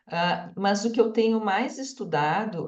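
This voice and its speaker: A woman speaks with ordinary pitch variation and a somewhat breathy voice, with audible room echo. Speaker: microbiology researcher. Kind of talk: lecture.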